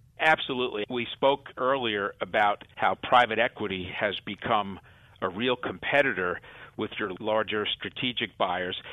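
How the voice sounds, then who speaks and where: With an ordinary speaking voice, a man talks at a moderate pace and fairly low pitch with ordinary pitch variation. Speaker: law firm partner advising on mergers. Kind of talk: interview.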